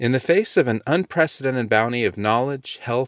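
A man with medium pitch and an ordinary speaking voice talks at a moderate pace with lively intonation, in a dry, close sound with no echo. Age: 40s. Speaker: founder of an anti-abortion education organization. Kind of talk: scripted narration. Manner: formal.

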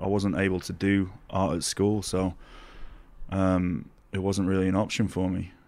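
Monotone, flat intonation in a Yorkshire accent at a moderate pace. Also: man, very deep, low pitch for a man. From Doncaster, Yorkshire, England. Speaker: snowboarder and artist. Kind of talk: casual chat interview. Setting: in person at a snowboard festival in Switzerland.

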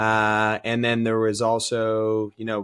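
Recorded dry and close with no echo, the voice carries an American accent. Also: man. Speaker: CrossFit athlete and coach. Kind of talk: casual interview chat. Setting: video call.

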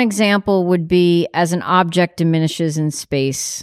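Ordinary pitch variation marks an ordinary speaking voice. The recording is dry and close, with no echo. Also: woman. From New York. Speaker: visual artist and art teacher. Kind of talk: casual chat. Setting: in person.

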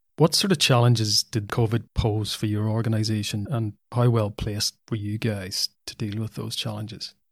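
A man's somewhat breathy, fairly low voice at a moderate pace, with fairly even intonation, dry close sound with no echo and a very clean recording over a silent background. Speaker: podcast host. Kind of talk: casual interview.

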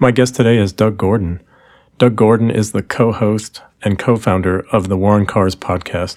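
A plain, everyday voice from a man, fairly low in pitch, with an American accent, moderate pace and fairly even intonation, on a very clean recording with a silent background. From US Midwest, Milwaukee. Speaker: podcast host. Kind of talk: casual interview; scripted intro.

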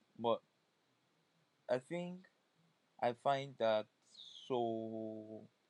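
A man's medium-pitched voice with ordinary pitch variation, recorded dry and close with no echo. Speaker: solo podcaster. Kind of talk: personal monologue. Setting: recording on a phone.

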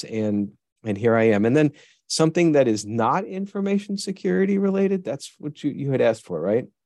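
A man with a dark, mellow tone and very wide pitch swings, talking at a fairly quick pace against a quiet background. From US Northeast, western New York (Buffalo). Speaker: virtual chief information security officer. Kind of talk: interview.

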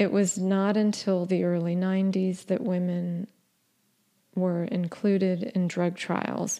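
In a quiet background, a woman with a dark, mellow tone speaks very slowly, her intonation monotone and flat and her loudness very even. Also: medium pitch for a woman. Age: 50s. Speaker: psychiatrist and podcast host. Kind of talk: solo educational monologue.

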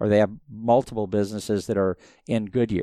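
A man with an American accent and a normal speaking voice talks at a moderate pace and medium pitch in a very clean recording with a silent background. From US Southwest, Phoenix, Arizona. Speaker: motorsport engineer and business owner. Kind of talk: interview.

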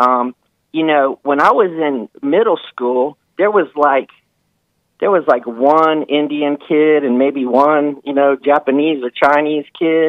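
A man with an unremarkable speaking voice talks at a fairly slow pace in a fairly high pitch, his intonation fairly even. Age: 50s. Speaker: caller, car industry worker. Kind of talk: call-in talk show. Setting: phone call.

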